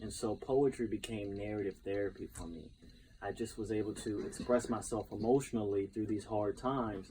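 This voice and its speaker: With an American accent, a man talks at a fairly quick pace, somewhat breathy and with fairly even intonation. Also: fairly low pitch for a man. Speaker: professional speaker, poet and educator. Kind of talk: interview answer.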